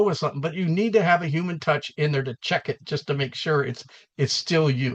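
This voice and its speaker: Using ordinary pitch variation, a man with a high-pitched voice talks in a West Coast US accent. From US West Coast. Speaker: entrepreneur and AI speaker. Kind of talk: summit presentation. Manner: casual conversational.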